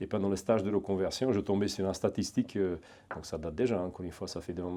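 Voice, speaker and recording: This man speaks with a Hungarian accent in a very deep, low voice. His tone is dark and mellow, with ordinary pitch variation. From eastern Hungary. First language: Hungarian (speaking French). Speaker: private security trainer, ex-legionnaire. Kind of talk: interview. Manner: hesitant, many fillers and repetitions.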